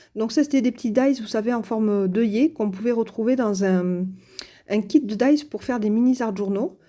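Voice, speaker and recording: This woman has a fairly high pitch and a dark, mellow tone. She talks at a moderate pace with ordinary pitch variation. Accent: southern French. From southern France. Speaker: crafts youtuber. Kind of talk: tutorial. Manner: hesitant, many fillers.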